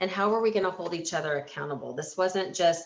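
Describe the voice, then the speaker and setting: The speaker has an unremarkable speaking voice. Their intonation stays fairly even. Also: woman. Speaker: healthcare organization leader. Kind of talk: webinar presentation. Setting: webinar.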